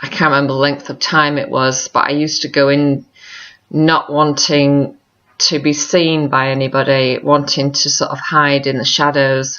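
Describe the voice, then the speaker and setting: A woman's very deep, low voice in an American accent, monotone and flat, at a moderate pace. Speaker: vlogger. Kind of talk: personal video diary. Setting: log cabin. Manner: reflective, halting.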